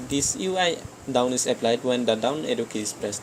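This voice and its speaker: Noticeable background noise accompanies a man speaking in a medium pitch. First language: not English. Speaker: game development tutor. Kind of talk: screen-recorded coding tutorial. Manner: halting, frequent self-corrections.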